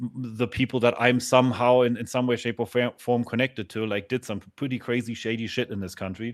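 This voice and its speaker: Rarely pausing, a man with a German accent speaks in monotone, flat intonation. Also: medium pitch for a man, fairly quick pace. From Germany. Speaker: podcast host. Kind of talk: casual chat. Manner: halting.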